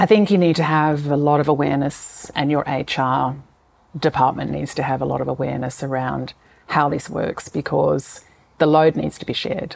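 Vocal fry runs through this woman's very deep, low voice. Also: fairly even intonation, moderate pace. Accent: Australian. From Tasmania, Australia. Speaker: business owner and author. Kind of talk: interview.

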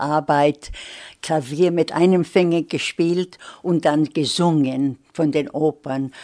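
A woman speaks at a very slow pace with a very deep, low pitch and fairly even intonation. The sound is dry and close, with no echo. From Vienna, Austria (emigrated as child to US). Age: 80s+. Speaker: literary scholar, gender studies professor. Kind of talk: interview. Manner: halting.

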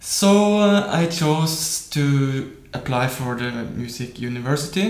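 Audible room echo and noticeable background noise surround a man speaking with ordinary pitch variation. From Norway. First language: Norwegian. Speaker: professional guitarist. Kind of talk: interview.

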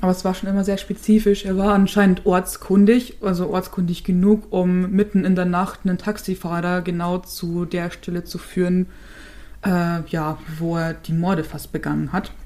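A woman talks at a moderate pace and medium pitch. Her tone is dark and mellow, with monotone, flat intonation. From Chiemgau, Upper Bavaria. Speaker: true crime podcast co-host. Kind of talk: case presentation in casual podcast chat.

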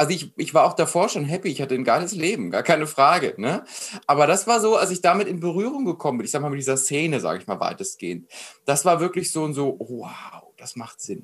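A man with a fairly high pitch speaks very fast with big swings in loudness. The recording is very clean, with a silent background. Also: lively intonation. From Germany, Frankfurt area. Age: 20s. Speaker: mindset coach. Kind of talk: interview conversation. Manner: animated.

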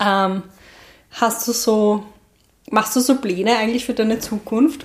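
Here is a woman with an unremarkable speaking voice. She talks at a moderate pace with fairly even intonation. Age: 30s. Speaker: podcast host. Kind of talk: interview. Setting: at the guest's home.

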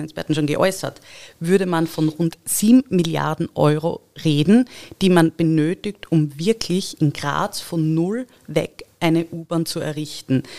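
A woman's normal speaking voice, fairly low in pitch with ordinary pitch variation, in a dry, close sound with no echo. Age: 30s. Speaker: local election candidate and engineering project manager. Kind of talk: podcast interview.

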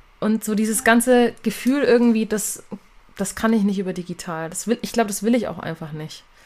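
A woman with an unremarkable speaking voice talks fairly quickly in a fairly high pitch, with ordinary pitch variation and big swings in loudness. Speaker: singer and songwriter. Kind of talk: casual interview chat.

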